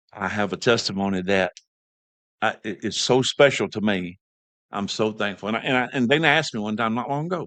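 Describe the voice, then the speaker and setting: A man with a Southern US accent and a fairly low pitch speaks at a fairly quick pace with ordinary pitch variation against a quiet background. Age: 60s. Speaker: podcast host. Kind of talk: casual chat.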